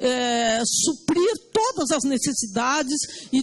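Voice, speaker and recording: A woman's voice with a high pitch. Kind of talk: formal hearing statement. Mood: firm, argumentative. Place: hall. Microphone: handheld.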